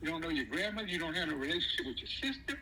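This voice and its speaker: A man uses a raised, projected voice. His pitch swings very widely. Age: 60s. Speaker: father of the channel host. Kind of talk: heated family discussion. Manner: animated.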